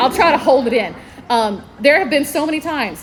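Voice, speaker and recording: A woman's high-pitched, animated voice with a Southern US accent, amid noticeable background noise. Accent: Southern twang. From North Carolina. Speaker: librarian. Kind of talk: convention panel talk. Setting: stage with audience.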